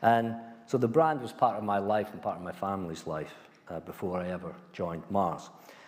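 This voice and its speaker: The speech comes fairly quickly in a Scottish accent, with big swings in loudness. Room echo is audible. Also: man, fairly low pitch for a man, ordinary pitch variation. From Scotland, small mining village. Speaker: former company chief executive. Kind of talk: lecture.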